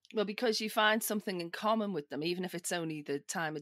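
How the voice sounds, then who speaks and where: A woman talks with a Liverpool accent. The sound is dry and close, with no echo. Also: very clean recording, silent background. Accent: British, Liverpool. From northern England, Liverpool. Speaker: social engineer, security tester. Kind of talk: podcast interview.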